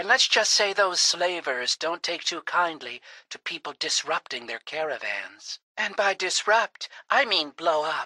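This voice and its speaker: Bright, sharp tone and lively intonation mark this woman's very slow speech. The sound is dry and close with no echo. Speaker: voice actor. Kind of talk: dramatic narration, comic radio-serial adventure parody. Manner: bold, sassy, action-hero tone.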